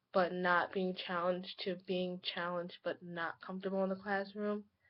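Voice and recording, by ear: A woman speaks at a moderate pace and medium pitch, with little pitch movement.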